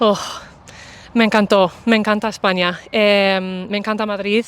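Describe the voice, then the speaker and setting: Using an ordinary speaking voice, a woman speaks at a fairly high pitch and a moderate pace. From US Midwest, Indiana. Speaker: English teacher and content creator. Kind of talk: casual interview.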